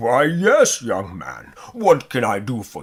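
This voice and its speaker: A man puts on a booming character voice at medium pitch, speaking at a fairly slow pace with big swings in loudness. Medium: read story.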